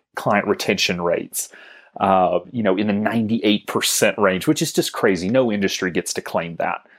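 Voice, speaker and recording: A man with an unremarkable speaking voice and an American accent, fairly low in pitch with ordinary pitch variation, on a very clean recording with a silent background. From US South. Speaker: financial advisory business co-founder. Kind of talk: interview.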